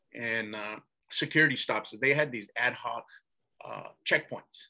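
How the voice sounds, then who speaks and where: At a fairly slow pace, a man with an American accent speaks at medium pitch in a bright, sharp tone with vocal fry, ordinary pitch variation and big swings in loudness. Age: 60s. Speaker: former attorney, ex-prisoner. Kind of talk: interview storytelling. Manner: casual, with many fillers and repetitions.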